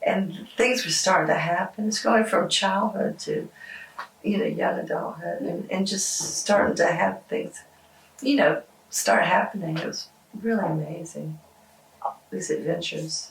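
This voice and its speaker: A woman talks at a fairly slow pace. Noticeable background noise can be heard behind her. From Georgia, USA. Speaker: rock musician. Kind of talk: interview answer. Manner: casual, hesitant.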